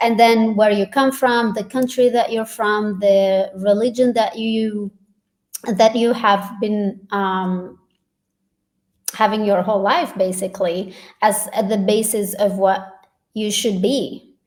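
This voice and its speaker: Here a woman with a non-native accent speaks at a very slow pace. Her fairly high pitch follows fairly even intonation. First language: not English. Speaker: facilitator and doctor. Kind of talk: casual chat.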